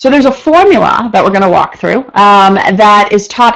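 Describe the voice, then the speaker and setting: Using lively intonation, a woman speaks at a fairly quick pace. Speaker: instructor. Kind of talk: online lecture. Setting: live online session. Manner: fast.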